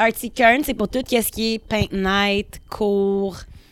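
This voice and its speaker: A woman speaks at a very slow pace in a very clean recording with a silent background, the sound dry and close with no echo. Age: 30s. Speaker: painter and studio owner. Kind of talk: casual chat. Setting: art studio.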